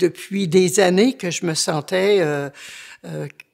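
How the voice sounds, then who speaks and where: Her pace is very slow. The woman's pitch is medium. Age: 70s. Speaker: churchgoer giving faith testimony. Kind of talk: testimony. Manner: halting, many hesitations.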